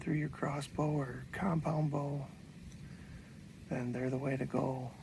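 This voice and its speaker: Whispering at a very slow pace, a man sounds somewhat breathy, his loudness very even against audible room echo. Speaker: bowhunter and archery product maker. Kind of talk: outdoor hunting vlog with product pitch.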